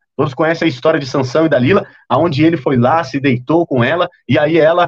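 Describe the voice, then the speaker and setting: A man's fairly high voice at a fairly quick pace, with ordinary pitch variation and a dry, close sound free of echo. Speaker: preacher. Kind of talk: sermon. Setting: livestream. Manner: fast.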